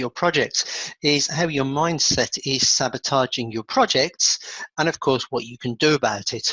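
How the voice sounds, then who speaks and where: The voice carries an English accent and a bright, sharp tone. The sound is dry and close, with no echo. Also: man. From England. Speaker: achievement coach. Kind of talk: webinar presentation.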